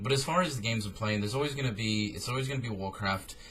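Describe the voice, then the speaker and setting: Pitch moves in an ordinary way as this man talks. The room adds audible echo. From military family, moved around; Australian roots. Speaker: gaming streamer and YouTuber. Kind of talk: casual Q&A vlog. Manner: casual, hesitant with fillers.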